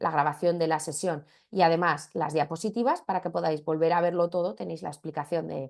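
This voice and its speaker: A woman's very deep, low voice over a quiet background. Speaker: marketing trainer. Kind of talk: webinar lecture. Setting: video call. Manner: fast.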